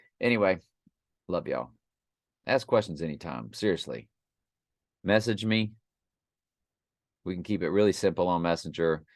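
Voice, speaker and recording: Against a quiet background, a man with a very deep, low voice and vocal fry speaks at a moderate pace with lively intonation and long, frequent pauses. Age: 60s. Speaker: teacher. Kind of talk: casual monologue. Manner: animated.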